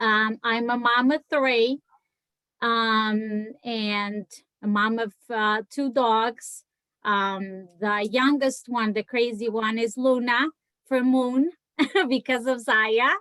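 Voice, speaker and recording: Very slowly and with fairly even intonation, a woman with a strong Portuguese accent speaks at a fairly high pitch in a bright, sharp tone, the sound dry and close with no echo. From Portugal. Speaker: direct sales seller. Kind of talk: casual chat.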